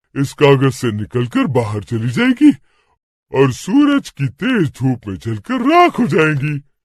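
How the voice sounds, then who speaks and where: A man performs a cartoonish character voice at a moderate pace. The sound is dry and close with no echo, over a quiet background. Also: fairly high pitch for a man. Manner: calm, confident.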